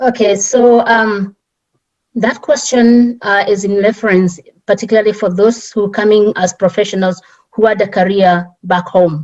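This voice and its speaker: A woman's medium-pitched voice with a strong Kenyan accent and fairly even intonation. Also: moderate pace. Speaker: immigrant community leader. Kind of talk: panel talk. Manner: halting.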